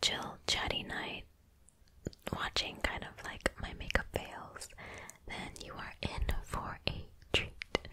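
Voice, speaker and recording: Whispering very slowly in a gentle tone, a woman leaves long, frequent pauses, her loudness swinging widely. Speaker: makeup video creator. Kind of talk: casual vlog chat. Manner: gentle chatty whisper. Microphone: studio mic.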